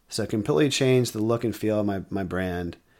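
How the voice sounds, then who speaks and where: A man speaks in an ordinary speaking voice, fairly low in pitch with ordinary pitch variation. The recording is very clean, with a silent background. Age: 30s. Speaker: podcast host and marketing consultant. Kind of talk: solo podcast monologue.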